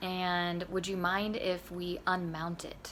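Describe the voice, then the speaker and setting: A woman speaks in a monotone, flat way, and audible room echo surrounds her voice. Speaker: vlogger sharing personal divorce journey. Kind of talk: casual personal vlog. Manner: hesitant, many fillers.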